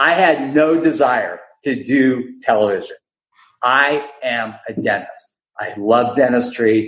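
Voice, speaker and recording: The voice has an animated tone with ordinary pitch variation. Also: man. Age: 60s. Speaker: dentist and entrepreneur. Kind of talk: podcast interview.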